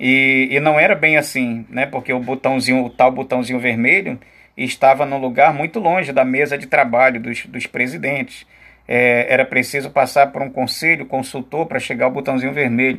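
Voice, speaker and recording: A man with an unremarkable speaking voice talks at a moderate pace. His medium pitch holds fairly even intonation. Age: 50s. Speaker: teacher. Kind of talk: lecture.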